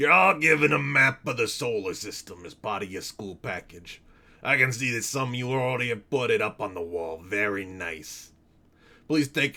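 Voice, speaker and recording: Raspy and put-on, this character voice moves at a moderate pace with very wide pitch swings. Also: man, medium pitch for a man. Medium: game stream. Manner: patient, explanatory.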